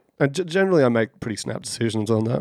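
Dry and close with no echo, a man's medium-pitched voice carries an Australian accent. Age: 30s. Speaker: podcast co-host. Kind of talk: casual chat.

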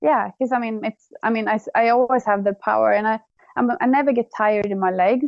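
With a Swedish accent, a woman talks at a fairly quick pace. Her pitch is fairly high, with ordinary pitch variation. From Sweden. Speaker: bike tourist. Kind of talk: interview. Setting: remote call.

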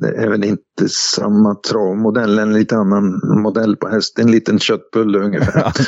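At a moderate pace with hardly any pauses, the voice delivers its words in a monotone, flat intonation. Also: man, fairly low pitch for a man. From Hälsingland, Sweden. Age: 70s. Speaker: horse trainer. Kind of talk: interview. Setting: phone call.

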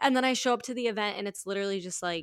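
This is a woman with a normal speaking voice, medium in pitch with ordinary pitch variation. The recording is very clean, with a silent background. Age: 20s. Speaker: actor, writer and sex worker. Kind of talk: casual interview chat.

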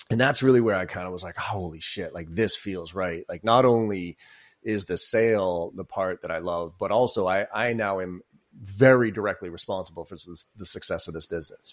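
A man with an unremarkable speaking voice talks at a fairly quick pace and fairly low pitch, with ordinary pitch variation and big swings in loudness. The recording is very clean, with a silent background. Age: 40s. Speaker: sales coach and keynote speaker. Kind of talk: casual interview.

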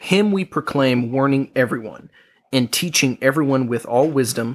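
A man speaks in a plain, everyday voice at a fairly slow pace. His pitch is medium, with ordinary pitch variation. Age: 20s. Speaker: podcast co-host and parent. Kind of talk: casual chat.

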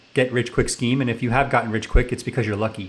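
A man with an American accent talks in a plain, everyday voice at medium pitch with fairly even intonation. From New York City area. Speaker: tech company founder and CEO. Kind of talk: radio interview. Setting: radio studio.

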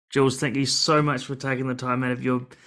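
The speaker has a New Zealand accent and a fairly quick pace. The background is quiet. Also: man. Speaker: podcast host. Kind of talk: casual interview conversation.

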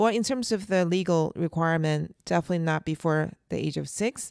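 On a very clean recording with a silent background and a dry, close sound with no echo, a woman speaks with a fairly low pitch and ordinary pitch variation. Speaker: podcast co-host, homeschooling mother. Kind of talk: casual conversation. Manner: intense.

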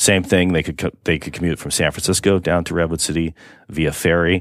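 A man speaks fairly quickly in a very deep, low pitch with monotone, flat intonation. The recording is very clean, with a silent background. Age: 50s. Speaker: city mayor. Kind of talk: radio interview.

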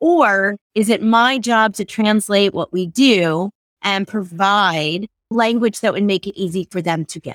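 The speaker has a New York accent and talks at a fairly slow pace. The sound is dry and close with no echo, in a very clean recording with a silent background. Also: woman. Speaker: learning and development director, former ballerina. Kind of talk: interview conversation.

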